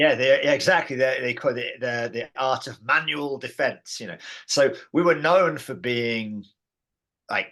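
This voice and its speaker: A man's medium-pitched, bright and sharp voice with an English accent, fairly slow, with big swings in loudness, ordinary pitch variation and a quiet background. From England. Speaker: martial arts teacher and founder of a training system. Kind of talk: interview. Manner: hesitant, many fillers and repeats.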